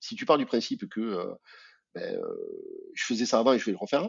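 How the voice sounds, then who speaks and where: A man in a southern French accent speaks at a fairly quick pace. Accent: southern French, sing-song. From southern France, Albi. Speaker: amputee athlete, association president. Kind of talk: podcast interview. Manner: hesitant, many fillers.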